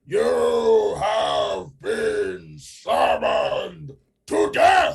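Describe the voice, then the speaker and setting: In a put-on character voice, the speaker talks at a very slow pace. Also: man. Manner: threatening, commanding.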